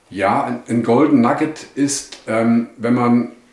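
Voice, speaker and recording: The man speaks at medium pitch with ordinary variation. Room echo is audible. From Germany, Hesse (Wetzlar). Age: 60s. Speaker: running coach and shop owner. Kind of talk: podcast interview. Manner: hesitant, many fillers.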